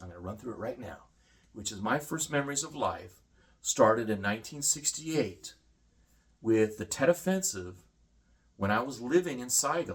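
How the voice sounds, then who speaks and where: Somewhat breathy and fairly quick, a man with an American accent talks at a medium pitch with lively intonation. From Vietnam and Singapore, then US from high school. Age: 50s. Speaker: homesteader and former combat photographer. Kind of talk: casual monologue vlog. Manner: fast.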